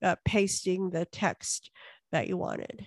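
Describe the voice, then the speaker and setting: A woman with a plain, everyday voice talks at a fairly slow pace in a medium pitch, recorded in a dry, close sound with no echo against a quiet background. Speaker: co-host of tech support call. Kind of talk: group tech help call, casual. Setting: video call.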